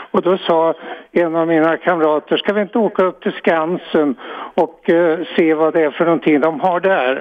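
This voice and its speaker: The speaker talks at a moderate pace with fairly even intonation. Loudness stays very even throughout. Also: man, high pitch for a man. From Sweden, Örebro. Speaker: caller. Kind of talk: phone-in storytelling. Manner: halting.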